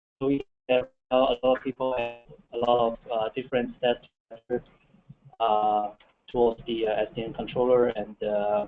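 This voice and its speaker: A man at a medium pitch, fairly slow in pace, with fairly even intonation. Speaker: software engineer presenting a project proposal. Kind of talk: technical presentation. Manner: halting, many fillers. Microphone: far from the microphone.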